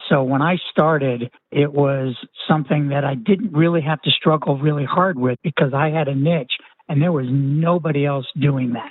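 A man talks at a moderate pace with fairly even intonation. He has an ordinary speaking voice. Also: fairly high pitch for a man. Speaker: retired entrepreneur and physician. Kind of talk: interview.

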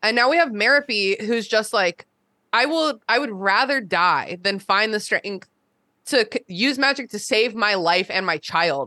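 In an American accent, a woman speaks at a fairly slow pace with a fairly high pitch, a bright, sharp tone and very even loudness. The sound is dry and close with no echo, and the background is quiet. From US, northern Virginia. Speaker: podcast host. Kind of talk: casual chat.

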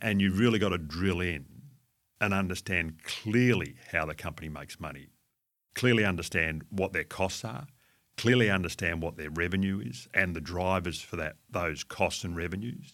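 This man has a very deep, low pitch and an Australian accent, with ordinary pitch variation. He talks at a moderate pace on a very clean recording with a silent background. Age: 60s. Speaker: fund manager. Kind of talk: interview.

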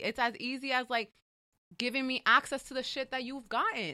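In a raised, projected voice, a woman with an American accent speaks high and with ordinary pitch variation. Her tone is bright and sharp, and the sound is dry and close with no echo. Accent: New York Dominican American English. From New York, the Bronx. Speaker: writer and educator. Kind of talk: casual interview.

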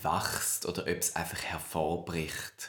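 At a fairly slow pace, a man is talking. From Switzerland. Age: 20s. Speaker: drag queen and history graduate. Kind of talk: casual interview chat.

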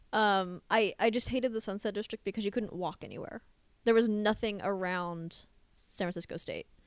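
A woman's medium-pitched voice, fairly even in intonation and moderate in pace, against a quiet background. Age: 20s. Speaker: podcast co-host. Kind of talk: casual chat.

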